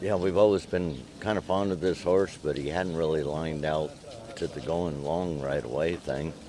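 At a fairly slow pace, a man speaks in a very deep, low pitch with ordinary pitch variation, the sound dry with no echo but with noticeable background noise. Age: 60s. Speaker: jockey. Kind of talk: interview. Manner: halting. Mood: relaxed, modest, pleased. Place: farm machine. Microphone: phone near.

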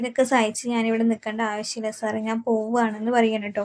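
The woman's fairly high voice comes across in a monotone, flat intonation, with a dry, close sound and no echo. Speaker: TV serial story narrator. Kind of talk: casual retelling of a TV serial plot.

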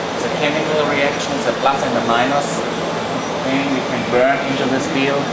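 Loud background noise fills the recording. Over it, a man speaks at a moderate pace. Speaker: factory tour guide. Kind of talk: tour explanation. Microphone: camera far.

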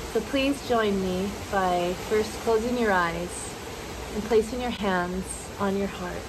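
Calm and soothing, a woman speaks at a very slow pace with fairly even intonation over noticeable background noise. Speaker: meditation guide. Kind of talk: guided meditation. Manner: slow, calm, soothing. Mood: calm, soft, soothing. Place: garden.

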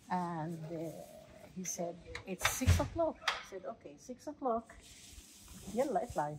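Speech at a fairly slow pace has long, frequent pauses, very wide pitch swings and big swings in loudness. Noticeable background noise sits behind it. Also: woman, medium pitch for a woman. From Palestine, Hebron. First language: Arabic. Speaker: local tour guide. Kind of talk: guided walking tour. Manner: halting, many fillers.

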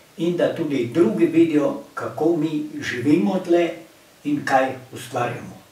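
There is noticeable background noise and audible room echo as a man talks with ordinary pitch variation. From Slovenia, Pohorje village. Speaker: local community president. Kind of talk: casual chat.

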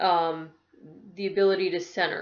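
Her pitch is medium for a woman. She speaks at a fairly slow pace. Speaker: massage therapist teaching meditation. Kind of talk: guided meditation: calm, gentle instructions to close eyes and breathe. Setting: video to camera. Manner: chatty, friendly and reassuring in the intro. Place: home room. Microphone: webcam.

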